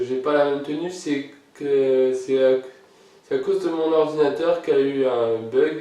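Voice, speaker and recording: A man's fairly high voice with fairly even intonation, audible room echo and noticeable background noise. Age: 20s. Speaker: YouTuber. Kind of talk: casual Q&A vlog. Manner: hesitant, many filler sounds.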